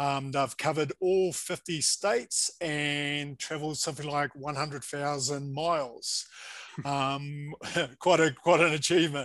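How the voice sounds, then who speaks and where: Here a man has an ordinary speaking voice, pitched fairly high. He talks at a fairly slow pace with fairly even intonation. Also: quiet background. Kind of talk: interview host.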